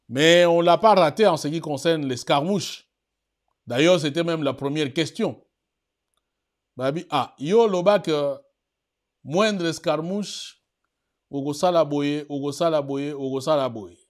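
A man's fairly high-pitched voice with ordinary pitch variation and long, frequent pauses, against a quiet background. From DR Congo. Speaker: political commentary web TV host. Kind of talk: news commentary show. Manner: hesitant with many fillers. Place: studio.

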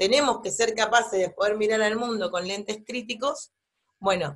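Speaking at a moderate pace in an ordinary speaking voice, a woman with a fairly high pitch and ordinary pitch variation is heard against a quiet background. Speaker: university lecturer. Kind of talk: lecture. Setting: pre-recorded online class. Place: home room. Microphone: webcam.

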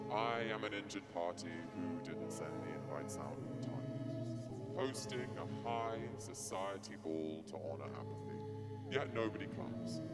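Loud music plays in the background as the speaker talks with hardly any pauses. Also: woman. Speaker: spoken word performer. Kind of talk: performance poetry reading. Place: stage. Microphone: handheld.

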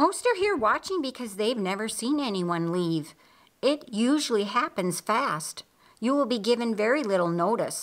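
Lively intonation colors a natural reading voice.

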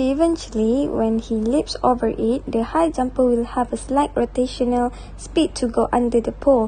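A woman with a high pitch and ordinary pitch variation talks at a moderate pace with hardly any pauses, noticeable background noise behind her. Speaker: university student. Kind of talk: class presentation.

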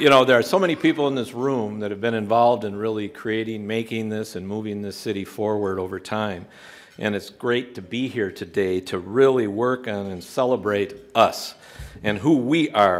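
A man with a normal speaking voice, fairly low in pitch, at a moderate pace with ordinary pitch variation. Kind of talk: formal speech. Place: hall.

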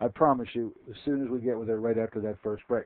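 The recording of this man is dry, with no echo. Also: quiet background. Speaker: radio host. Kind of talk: radio show interview. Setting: radio studio. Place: studio. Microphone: headset.

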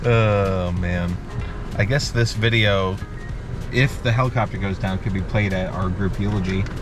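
A man with a fairly low pitch and fairly even intonation at a moderate pace, dry sound with no echo and clear music in the background. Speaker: vlogger. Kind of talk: casual vlog chat. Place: car. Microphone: phone near.

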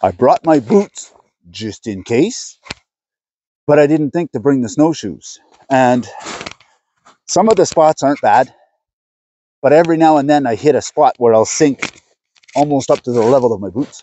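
A man's voice at a moderate pace with long, frequent pauses and a dry sound with no echo. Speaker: outdoor vlogger. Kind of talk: casual vlog chat. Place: forest.

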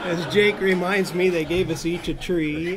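This is a man speaking at a moderate pace. Noticeable background noise sits behind him. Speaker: panelist, law professor. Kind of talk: panel discussion, personal recollection. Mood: relaxed, anecdotal. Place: meeting room. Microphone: podium.

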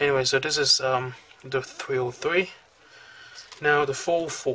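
A man with a medium-pitched voice talks at a moderate speed while noticeable background noise carries on behind him. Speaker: calligraphy hobbyist. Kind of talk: product review talk over demonstration. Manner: hesitant, many fillers.

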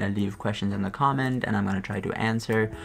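A voice with fairly even intonation plays over faint music in the background. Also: man. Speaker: channel host. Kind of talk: casual vlog chat. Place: home room.

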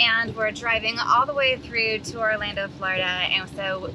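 Against noticeable background noise, a woman talks with ordinary pitch variation in a dry sound with no echo. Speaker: family travel vlogger. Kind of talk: casual vlog chat. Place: car. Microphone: phone near.

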